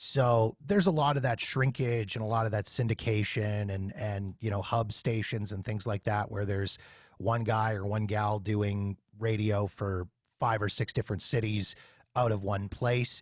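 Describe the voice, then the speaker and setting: A man with a plain, everyday voice and a Canadian accent, fairly low in pitch, at a moderate pace with fairly even intonation, on a very clean recording with a silent background. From Canada, Winnipeg. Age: 40s. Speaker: podcast host and former radio worker. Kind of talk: casual interview chat.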